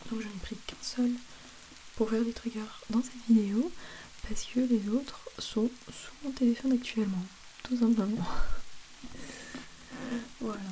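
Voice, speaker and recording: A soft-spoken woman with a fairly high pitch talks in a relaxed tone at a fairly slow pace, leaving long, frequent pauses. Her loudness swings widely, and there is noticeable background noise. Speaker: ASMR creator. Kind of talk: soft-spoken ASMR talk to camera. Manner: soft-spoken, relaxed, chatty.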